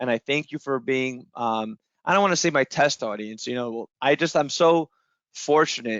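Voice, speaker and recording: A man talks at a moderate pace in a medium pitch. His pitch variation is ordinary. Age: 30s. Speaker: trading educator. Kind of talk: live-streamed podcast talk. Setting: live stream with audience. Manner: halting, many fillers and repetitions.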